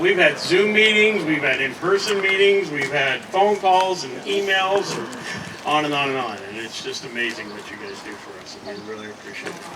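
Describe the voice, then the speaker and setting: A man's high-pitched voice in an American accent at a moderate pace, with very wide pitch swings, big swings in loudness, audible room echo and noticeable background noise. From Oregon. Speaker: ceremony emcee. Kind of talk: award presentation. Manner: casual, conversational.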